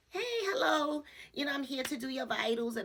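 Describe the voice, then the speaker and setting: Using a put-on character voice, a woman speaks in a high pitch at a fairly quick pace. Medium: solo performance. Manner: curt.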